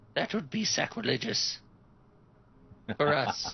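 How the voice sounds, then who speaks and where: A man puts on a character voice pitched high for a man. He talks at a fairly slow pace. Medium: actual play.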